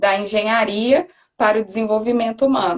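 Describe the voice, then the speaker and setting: A woman with a Minas Gerais accent at a moderate pace. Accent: Minas Gerais Brazilian Portuguese. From Brazil, Minas Gerais (Belo Horizonte). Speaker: career coach. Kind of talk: live stream interview.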